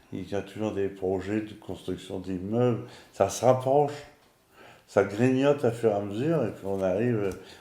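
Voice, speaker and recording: A man speaks at a fairly slow pace with a fairly low pitch, a dark, mellow tone, and lively intonation. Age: 60s. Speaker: retired civil servant. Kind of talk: casual interview.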